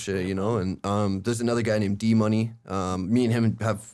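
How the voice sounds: A man's fairly low voice, slightly mellow, with a clear, smooth tone. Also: fairly even intonation, moderate pace.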